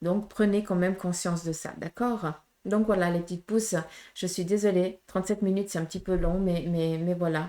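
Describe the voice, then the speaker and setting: Speaking with a Portuguese accent, a woman keeps a medium pitch and fairly even intonation. Her pace is moderate. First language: Portuguese (speaking French). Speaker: medium, tarot reader. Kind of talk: tarot reading guidance to viewers. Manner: hesitant, many fillers.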